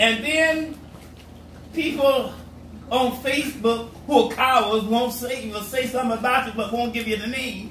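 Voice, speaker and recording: Fairly slow speech with fairly even intonation comes through audible room echo and noticeable background noise. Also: man, extremely high pitch for a man. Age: 70s. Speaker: pastor. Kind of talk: sermon.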